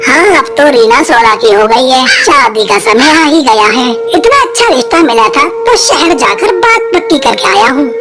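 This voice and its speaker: A cartoonish character voice speaks at a moderate pace. Loud music plays in the background. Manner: familiar, opinionated.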